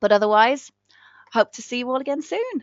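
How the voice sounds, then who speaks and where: This woman speaks with an English Midlands accent. Her pitch is high. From England, Northampton. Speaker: ESL teacher trainer. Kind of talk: live webinar training. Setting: online live session. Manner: warm, animated.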